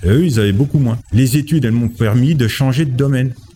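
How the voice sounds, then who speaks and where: A man talks while clear background noise can be heard. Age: 40s. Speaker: industrial maintenance technician. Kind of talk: interview answers.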